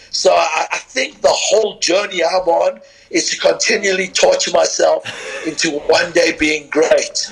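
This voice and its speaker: At a moderate pace, a man talks through noticeable background noise. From southern Africa (South Africa, Zimbabwe), also London. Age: 50s. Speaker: strength and conditioning coach. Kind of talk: podcast interview.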